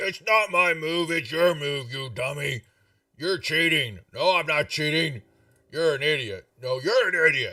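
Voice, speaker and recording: A man puts on a character voice at a fairly high pitch, booming and raspy. His pace is moderate. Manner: quarrelsome, bickering.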